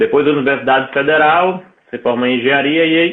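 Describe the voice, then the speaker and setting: Speaking with a northeastern Brazilian accent, this man has a fairly high pitch. His pitch variation is ordinary. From Brazil, Mossoró, Rio Grande do Norte. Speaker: entrepreneur, engineer. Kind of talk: interview.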